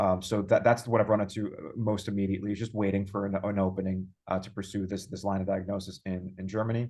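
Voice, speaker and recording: With a New York accent, a man with a fairly low pitch talks at a fairly quick pace in a monotone, flat intonation against a quiet background. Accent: New York American. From US, New York. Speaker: user experience designer. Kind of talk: interview. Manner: halting, many repeated words.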